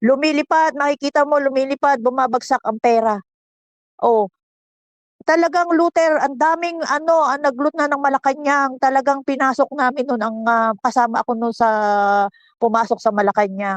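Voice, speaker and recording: In a dry, close sound with no echo, a woman speaks at high pitch with ordinary pitch variation. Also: moderate pace. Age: 60s. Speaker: political commentator. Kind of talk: casual chat. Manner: animated.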